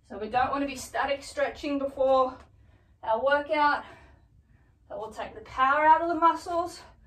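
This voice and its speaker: A woman at a high pitch with ordinary pitch variation, a moderate pace and audible room echo. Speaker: fitness instructor. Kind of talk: tutorial. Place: home room. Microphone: camera far.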